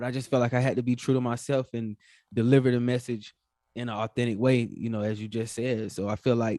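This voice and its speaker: A man talks at a fairly quick pace in a Southern US accent with fairly even intonation. The sound is dry and close, with no echo. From US South, North Carolina. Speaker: entrepreneur, finance podcaster. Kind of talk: casual interview. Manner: polite, says yes sir often.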